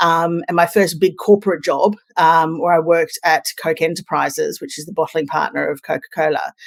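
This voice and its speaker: A woman with an Australian accent speaks at a fairly quick pace with hardly any pauses and big swings in loudness, in a dry, close sound with no echo. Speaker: communications consultant. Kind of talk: podcast interview.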